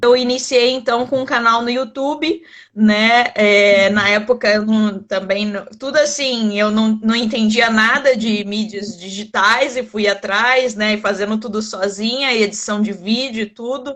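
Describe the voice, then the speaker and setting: A woman's fairly high voice at a fairly slow pace, with fairly even intonation and hardly any pauses. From Brazil, Rio de Janeiro. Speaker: winemaker and wine content creator. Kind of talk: interview in a live stream. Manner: conversational with many fillers.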